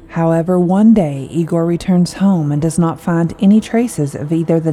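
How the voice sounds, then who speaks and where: Over noticeable background noise, a woman with a fairly low pitch speaks at a moderate pace in a dramatic tone. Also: hardly any pauses. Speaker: podcast narrator. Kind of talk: scripted horror storytelling narration. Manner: dramatic, suspenseful, measured.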